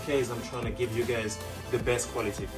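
A man talks with clear music playing in the background. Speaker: boxing coach. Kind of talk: channel introduction. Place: garage. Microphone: camera far.

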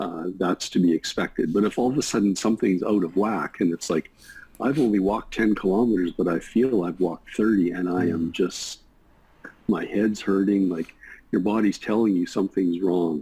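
A man speaks at a moderate pace with a very deep, low pitch and ordinary pitch variation. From Canada. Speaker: emergency physician. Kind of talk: interview explaining medical topic. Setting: video call. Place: home room. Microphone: video call.

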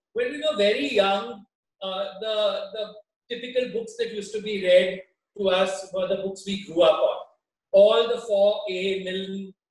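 A man with a high voice speaks at a fairly slow pace. Room echo is audible. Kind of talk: interview answer. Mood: warm, nostalgic. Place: home room.

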